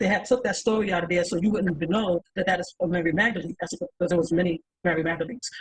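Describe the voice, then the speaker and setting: Very fast and animated, a woman speaks in a somewhat breathy voice. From New York. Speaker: podcast panelist. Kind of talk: panel discussion.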